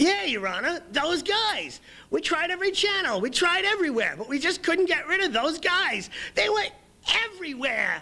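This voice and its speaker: At an extremely high pitch, someone performs in a put-on character voice. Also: moderate pace. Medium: comedy sketch. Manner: rambling, repetitive.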